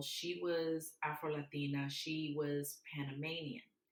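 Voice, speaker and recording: A woman with a Southern US accent talks at a very slow pace in a very deep, low voice, her intonation fairly even. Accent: Southern country. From US South, Mobile, Alabama. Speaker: public speaker. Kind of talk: interview conversation.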